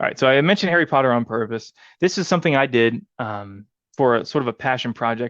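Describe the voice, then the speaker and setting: Recorded with a dry, close sound and no echo over a quiet background, a man talks at a very fast pace with a medium pitch and ordinary pitch variation. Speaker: data analyst presenter. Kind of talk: conference presentation.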